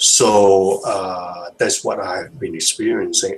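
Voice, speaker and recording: Against noticeable background noise, a man with a non-native accent talks at a very slow pace. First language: not English. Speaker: hangout participant sharing experience. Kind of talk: video hangout discussion. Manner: halting, many fillers and repetitions.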